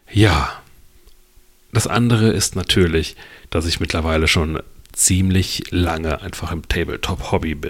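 A man speaks at a fairly slow pace in a very deep, low pitch, somewhat breathy. He takes long, frequent pauses. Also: ordinary pitch variation. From western Germany, Lower Rhine / Ruhr area border. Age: 40s. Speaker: podcast host. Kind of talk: solo podcast monologue. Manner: casual, with filler words.

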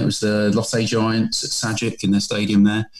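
A man with a British accent and a medium-pitched voice. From England. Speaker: painter. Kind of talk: casual interview.

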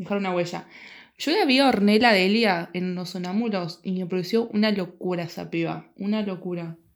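This woman has an ordinary speaking voice at a medium pitch. Her intonation is fairly even, and her pace is moderate. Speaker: podcast co-host. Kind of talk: casual chat.

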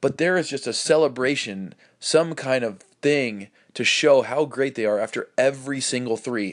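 A man's plain, everyday voice at medium pitch, with ordinary pitch variation, a moderate pace and a quiet background. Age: 30s. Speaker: basketball coaching podcast host. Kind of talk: casual solo podcast talk. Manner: frequent fillers like um and uh.

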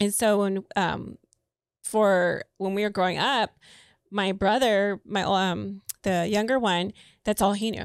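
A woman's medium-pitched, monotone, flat delivery at a fairly slow pace with long, frequent pauses, in a dry, close sound with no echo on a very clean recording with a silent background. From US, Mexican American community. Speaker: podcast co-host. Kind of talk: casual chat.

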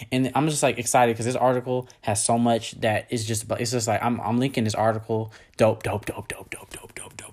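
With noticeable background noise, a man at medium pitch speaks at a fairly quick pace with hardly any pauses. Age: 20s. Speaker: podcast host. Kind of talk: solo educational monologue. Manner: casual with frequent filler words; animated.

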